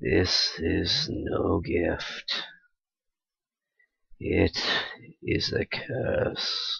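In a raspy put-on character voice, a man speaks at a very slow pace with long, frequent pauses. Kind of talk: comic dub reading. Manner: grave, solemn.

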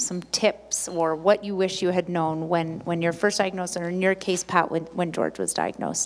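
A woman's fairly low pitch at a moderate pace.

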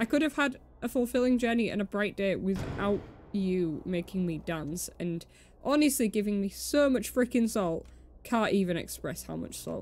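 A woman talks with lively intonation at a moderate pace. Light background noise can be heard. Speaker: game streamer. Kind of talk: casual gameplay commentary with reading dialogue aloud. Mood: playfully annoyed. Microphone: earbuds.

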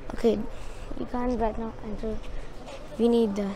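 The recording is dry, with no echo, over light background noise. A woman speaks in a high voice. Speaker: travel vlogger. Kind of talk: casual vlog chat. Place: street. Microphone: phone near.

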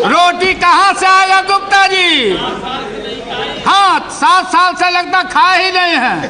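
A man speaks in a raised, projected voice at an extremely high pitch. His pace is very slow, with noticeable background noise. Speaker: politician. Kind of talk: parliamentary speech. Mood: jovial, mocking humor. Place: hall.

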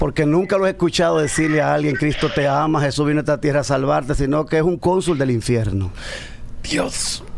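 Over light background noise, a man with a fairly high pitch speaks at a fairly quick pace with ordinary pitch variation. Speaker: pastor. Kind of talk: casual chat. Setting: studio. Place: studio. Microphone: studio mic.

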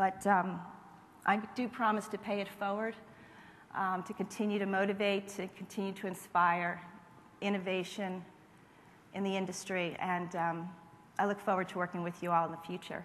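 A woman speaks at a moderate pace in a flat, monotone delivery broken by long, frequent pauses, with light background noise. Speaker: marketing executive. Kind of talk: award acceptance speech. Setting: stage with audience. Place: hall. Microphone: podium.

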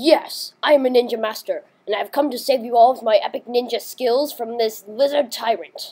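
A female-sounding cartoonish character voice sits high in pitch. It runs on with hardly any pauses. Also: moderate pace. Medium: puppet. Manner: heroic, boastful.

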